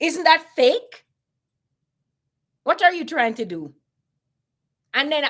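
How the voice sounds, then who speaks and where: A woman speaks in a Caribbean accent with an animated tone. Her pitch swings very widely. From Jamaica. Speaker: YouTuber. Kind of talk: casual commentary monologue.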